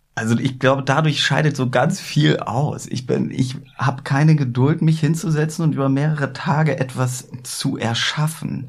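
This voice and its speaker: A man's fairly high voice at a moderate pace, fairly even in intonation, over noticeable background noise. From northern Germany, Hamburg. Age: 30s. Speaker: card magician. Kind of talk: casual chat. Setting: studio.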